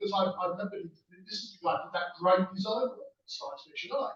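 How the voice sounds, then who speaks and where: The speech moves fairly quickly. It is delivered in a British accent. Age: 60s. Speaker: convention guest of honour. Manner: halting.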